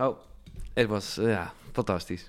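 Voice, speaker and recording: Speaking with a Dutch accent, a man keeps a moderate pace. The recording is very clean, with a silent background. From Netherlands. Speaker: radio DJ and podcast host. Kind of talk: interview.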